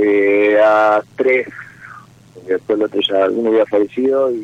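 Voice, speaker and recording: A man talks in a fairly low pitch. Noticeable background noise runs behind him. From Jujuy, Argentina. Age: 30s. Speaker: caller. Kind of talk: personal call-in talk. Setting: phone call. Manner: halting.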